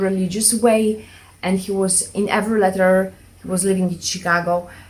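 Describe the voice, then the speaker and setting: A woman's somewhat breathy, medium-pitched voice at a moderate pace with monotone, flat intonation. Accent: non-native. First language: not English. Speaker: minimalism vlogger. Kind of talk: casual vlog monologue. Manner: hesitant, many fillers.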